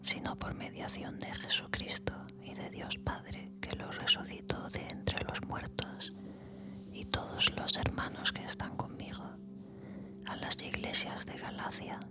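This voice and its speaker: Whispering at a very slow pace in a calm tone over noticeable background noise. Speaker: Bible reader / ASMR channel host. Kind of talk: whispered Bible reading for relaxation and sleep (ASMR audiobook). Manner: whispered, slow, calm.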